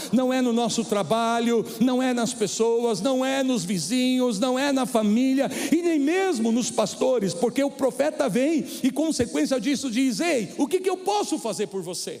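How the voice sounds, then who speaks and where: With lively intonation and hardly any pauses, a man with an extremely high pitch talks at a fairly slow pace against noticeable background noise. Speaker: preacher. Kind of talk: sermon. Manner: stumbling over words.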